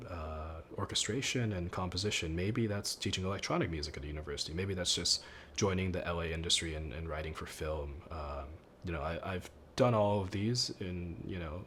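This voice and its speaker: A man with a very deep, low voice talks at a fairly quick pace with ordinary pitch variation, and audible room echo surrounds him. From Thailand, then US. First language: Thai. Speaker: composer. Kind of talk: interview. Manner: casual, with many fillers.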